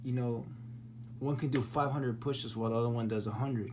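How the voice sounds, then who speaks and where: Audible room echo around a man's somewhat breathy voice. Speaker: spiritual vlogger. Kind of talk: casual monologue. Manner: halting, repetitive; animated.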